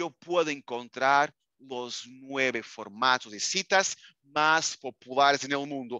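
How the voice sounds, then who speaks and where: In a Portuguese accent, a man with a fairly high pitch and a bright, sharp tone speaks at a very slow pace, the sound dry with no echo and the background quiet. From Portugal. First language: Portuguese (speaking Spanish). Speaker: librarian and software trainer; product trainer. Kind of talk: online training webinar. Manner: animated. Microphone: webcam.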